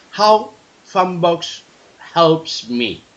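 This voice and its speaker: There is noticeable background noise as a man speaks at a high pitch. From Spain. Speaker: podcast host. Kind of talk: casual chat. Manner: halting.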